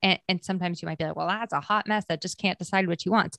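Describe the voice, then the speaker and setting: A woman speaks at medium pitch with an American accent. The background is quiet. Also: dry, close sound with no echo. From Maine and New Hampshire, US New England. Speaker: marketer and former store owner. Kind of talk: casual interview chat.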